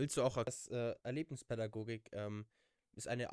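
A man talks at a fairly slow pace in a normal speaking voice, with a dry, close sound with no echo. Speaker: volunteer, podcast moderator. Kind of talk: casual chat.

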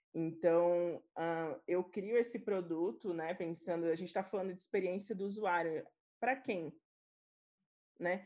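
A woman's fairly low, dark and mellow voice with ordinary pitch variation, a fairly slow pace, and long, frequent pauses against a quiet background. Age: 20s. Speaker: UX writer. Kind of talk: casual chat.

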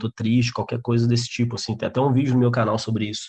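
Over a quiet background, a man's medium-pitched voice comes through somewhat breathy, with a dark, mellow tone. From interior of Minas Gerais, Brazil. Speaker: stand-up comedian and comedy writer. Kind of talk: casual chat.

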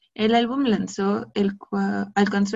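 Her voice is somewhat breathy, and this woman speaks at medium pitch with ordinary pitch variation. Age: 20s. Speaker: podcaster. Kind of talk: casual monologue.

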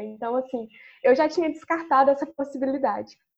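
The speaker is a woman keeping a moderate tempo. Her pitch moves in an ordinary way. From Minas Gerais, Brazil. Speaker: chemistry student. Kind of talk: online panel Q&A.

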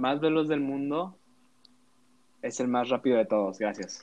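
A man with a Mexican accent, fairly high in pitch, very slow in pace, with lively intonation. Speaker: podcast co-host, student. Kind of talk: casual chat.

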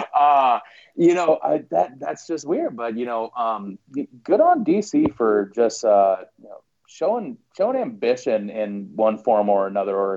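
A man with an Upper Midwest accent speaks at a fairly slow pace. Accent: Upper Midwest American. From South Dakota, US. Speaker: soccer fan commentator. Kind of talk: casual chat.

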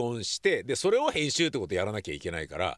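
Male speech on a very clean recording, the background completely silent. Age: 60s. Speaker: podcast host. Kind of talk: casual vlog-style monologue. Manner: casual, conversational with frequent fillers.

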